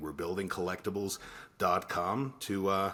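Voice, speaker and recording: Speaking at a moderate pace, a man with an American accent uses lively intonation over a fairly low pitch. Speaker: podcast co-host. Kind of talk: casual chat. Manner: halting with many fillers.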